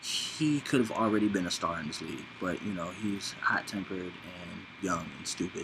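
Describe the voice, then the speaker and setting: Audible room echo surrounds a man speaking at a fairly low pitch and a moderate pace. He pauses hardly at all, with ordinary pitch variation. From Los Angeles. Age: 30s. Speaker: vlogger. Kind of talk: casual monologue. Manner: rambling, casual.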